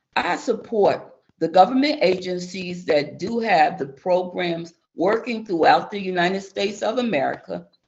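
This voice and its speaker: A woman speaks at a moderate pace in a medium pitch, with a plain, everyday voice. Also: lively intonation. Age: 60s. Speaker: public witness. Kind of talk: testimony. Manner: reading prepared statement.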